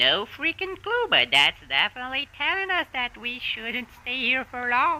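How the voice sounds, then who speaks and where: Using a put-on character voice, a woman talks in a high pitch at a moderate pace with hardly any pauses. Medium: audio drama. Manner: nervous, stammering.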